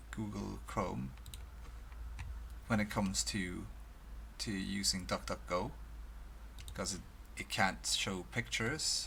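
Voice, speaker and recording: Speaking with a Swedish accent, a man talks. His pace is fairly slow. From Sweden. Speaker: video blogger. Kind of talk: casual monologue. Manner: halting.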